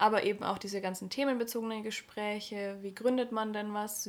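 A woman talks at a moderate pace in a fairly high pitch. Her intonation stays monotone and flat. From Neumarkt, Upper Palatinate, Bavaria. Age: 20s. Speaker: podcast co-host, trainee dog physiotherapist. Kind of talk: casual chat.

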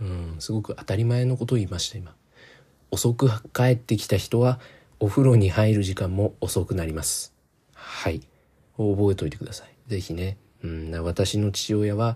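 In a very clean recording with a silent background, a man speaks at a fairly low pitch in a dark, mellow, relaxed tone, somewhat breathy, with big swings in loudness. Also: ordinary pitch variation, moderate pace. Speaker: solo podcast host. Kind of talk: casual solo monologue. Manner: relaxed and rambling.

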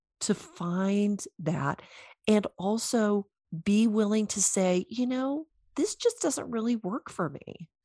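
Lively intonation and a somewhat breathy delivery in an American accent, at a very slow pace, with a dry, close sound and no echo. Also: woman. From US South. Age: 50s. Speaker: intuitive coach, former chiropractor. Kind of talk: interview.

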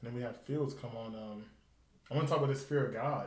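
A man at a fairly quick pace with an American accent, somewhat breathy, fairly even in intonation, with audible room echo. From US South, Nashville, Tennessee. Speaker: podcast host. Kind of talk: casual chat.

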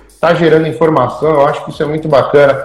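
A man talks at a fairly quick pace with a fairly high pitch. Audible echo fills the room. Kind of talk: casual live-stream interview. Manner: animated.

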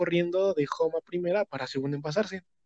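Speaking at a very fast pace, a man with a high pitch and dark, mellow tone shows ordinary pitch variation in a dry, close sound with no echo. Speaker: podcast guest. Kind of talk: casual chat.

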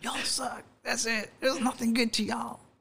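This raspy, put-on character voice sits fairly high in pitch. It moves at a fairly quick pace with monotone, flat intonation. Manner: dismissive, sarcastic.

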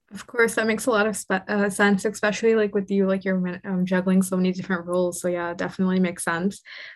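Against a quiet background, a woman speaks very fast at a medium pitch. Her intonation is monotone and flat, with hardly any pauses. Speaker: student podcast host. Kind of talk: casual interview.

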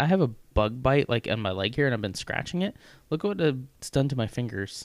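This man has an ordinary speaking voice with an American accent and ordinary pitch variation. He talks at a fairly quick pace on a very clean recording with a silent background. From US Midwest, Missouri. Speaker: podcast co-host. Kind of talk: casual chat.

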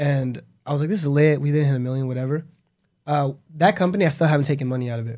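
Very fast, a man with a fairly high pitch and a dark, mellow tone talks with ordinary pitch variation. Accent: Southern California. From Los Angeles suburb (West Covina). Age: 20s. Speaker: entrepreneur. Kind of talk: casual chat.

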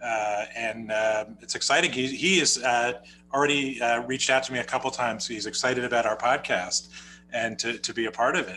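A man speaks at a fairly quick pace with a medium pitch and ordinary pitch variation. There is noticeable background noise. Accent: New Jersey. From New Jersey, US. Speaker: rabbi and podcast co-host. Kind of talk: casual conversational podcast.

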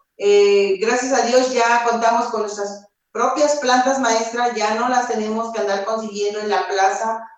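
A woman talks fairly slowly at fairly high pitch, with hardly any pauses and monotone, flat intonation. Audible room echo surrounds the voice. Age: 50s. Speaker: herbalist collective member. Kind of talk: interview.

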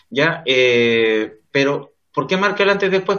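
Lively intonation from a man at a fairly high pitch. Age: 30s. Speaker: lawyer. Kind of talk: interview. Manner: halting.

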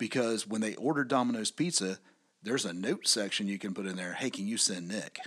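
Here a man talks in a plain, everyday voice. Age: 40s. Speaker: podcast co-host, business owner. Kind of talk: casual chat.

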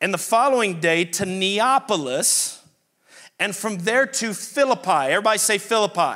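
A man speaks in a high voice with a bright, sharp tone and a New Orleans accent. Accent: Southern US (New Orleans). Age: 40s. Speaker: pastor. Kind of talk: sermon. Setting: church. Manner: animated.

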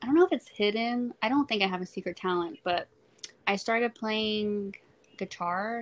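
Recorded very cleanly with a silent background and a dry, close sound with no echo, a woman with an American accent talks at a moderate pace in an unremarkable speaking voice, her medium pitch moving with ordinary variation. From South Texas, Corpus Christi. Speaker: period poverty activist. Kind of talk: interview.

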